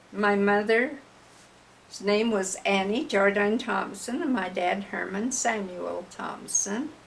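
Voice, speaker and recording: A woman with an American accent speaks very slowly at very even loudness and ordinary pitch variation, with audible room echo and noticeable background noise. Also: medium pitch for a woman. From Utah, Cache Valley (Clarkston). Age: 80s+. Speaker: oral history interviewee. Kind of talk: oral history interview.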